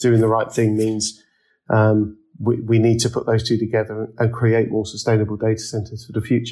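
A man with an English accent talks at a fairly quick pace, somewhat breathy and with monotone, flat intonation. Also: medium pitch for a man. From England. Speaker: real estate managing director. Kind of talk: interview. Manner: hesitant, many fillers and repetitions.

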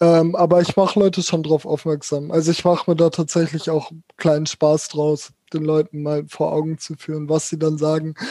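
The voice has a dark, mellow tone and moves at a moderate pace in a monotone, flat manner. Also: man, fairly high pitch for a man. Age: 20s. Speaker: social work student with spasticity. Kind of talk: interview.

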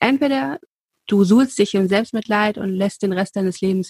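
A woman speaks at a medium pitch and a fairly quick pace, her voice somewhat breathy. The sound is dry and close, with no echo. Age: 30s. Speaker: royalty expert, podcast co-host. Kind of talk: casual chat.

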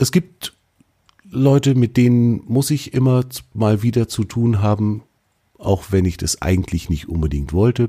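A man's medium-pitched voice is somewhat breathy, with a dark, mellow tone and lively intonation. He moves at a fairly slow pace with long, frequent pauses, in a dry, close sound with no echo. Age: 40s. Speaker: podcast host. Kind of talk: solo podcast monologue. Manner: casual, conversational.

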